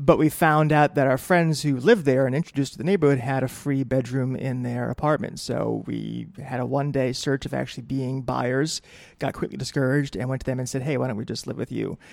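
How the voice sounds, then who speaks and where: Fairly quick and with hardly any pauses, a plain, everyday voice carries an American accent and fairly even intonation. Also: man, medium pitch for a man. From New England, Connecticut (New Britain). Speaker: newspaper editor. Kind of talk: casual interview.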